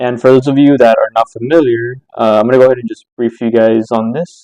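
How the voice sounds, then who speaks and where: A man talks fairly quickly at a medium pitch, his tone dark and mellow. The sound is dry and close with no echo, and his intonation stays fairly even. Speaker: stock trading chart analyst. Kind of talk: tutorial. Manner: fast.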